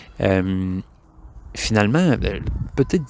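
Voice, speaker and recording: A man with a Quebec accent talks at a fairly slow pace on a very clean recording with a silent background. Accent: Québécois French. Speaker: board game podcaster. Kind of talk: casual monologue. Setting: outdoors in backyard. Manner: hesitant, many filler words.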